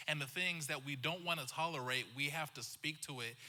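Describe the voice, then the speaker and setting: A man's bright, sharp voice with an American accent and fairly even intonation. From western US (Montana, Wyoming). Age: 30s. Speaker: pastor. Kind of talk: panel discussion.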